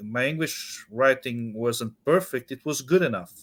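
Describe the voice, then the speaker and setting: A man speaks at a fairly slow pace with a Portuguese accent. His pitch sits in the medium range. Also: very clean recording, silent background. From Portugal. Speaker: author. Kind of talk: interview. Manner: halting, many repetitions.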